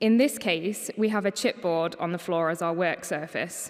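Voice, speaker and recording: At a moderate pace and medium pitch, a woman speaks with ordinary pitch variation in an ordinary speaking voice. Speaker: paper conservator. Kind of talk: conference talk.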